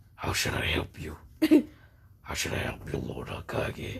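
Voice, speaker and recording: A put-on character voice, very deep, low-pitched and raspy, comes at a moderate pace. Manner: menacing, booming.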